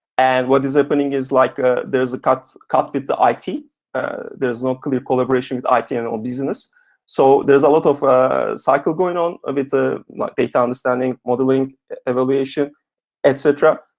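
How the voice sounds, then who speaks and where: The speaker is a man with a medium pitch. He talks at a fairly quick pace with fairly even intonation. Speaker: software engineer giving a talk. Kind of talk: webinar talk with discussion. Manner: fast.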